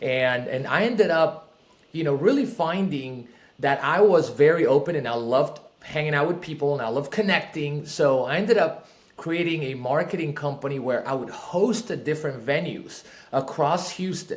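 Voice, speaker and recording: A man with a Spanish accent and a fairly high pitch talks at a moderate pace with lively intonation, amid audible room echo and noticeable background noise. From Peru. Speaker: real estate investor. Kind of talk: podcast interview.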